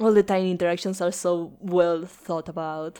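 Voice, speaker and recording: On a very clean recording with a silent background, a woman speaks fairly slowly in a dark, mellow tone with fairly even intonation. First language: Spanish. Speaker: podcast host. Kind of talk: casual chat.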